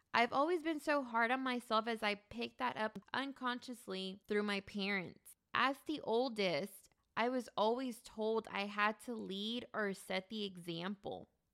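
Here a woman has an unremarkable speaking voice with a fairly high pitch. She talks at a fairly slow pace with ordinary pitch variation. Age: 30s. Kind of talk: casual chat.

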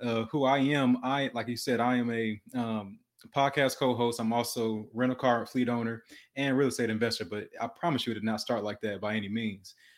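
A man with an American accent speaks in an ordinary speaking voice at a medium pitch with fairly even intonation. The recording is very clean, with a silent background. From Detroit, Michigan. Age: 20s. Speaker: entrepreneur. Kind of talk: interview.

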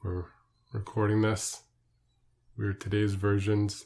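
Somewhat breathy, a man talks at a fairly slow pace in a fairly low pitch on a very clean recording with a silent background. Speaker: podcast co-host, interviewer. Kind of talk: casual chat.

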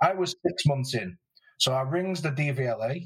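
Lively intonation marks this man's speech in a British accent. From UK. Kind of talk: casual interview chat. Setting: remote recording.

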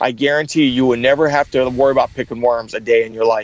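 A man speaks fairly quickly in an animated tone. The sound is dry and close with no echo. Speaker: motivational speaker. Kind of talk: interview.

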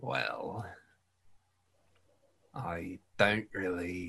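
A man performs a put-on character voice. It is raspy and fairly low in pitch.

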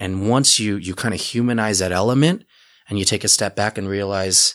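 With an American accent, a man with an unremarkable speaking voice talks in a fairly low pitch and fairly even intonation, recorded very cleanly against a silent background. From Utah. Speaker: cannabis pharmacy owner. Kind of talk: podcast interview.

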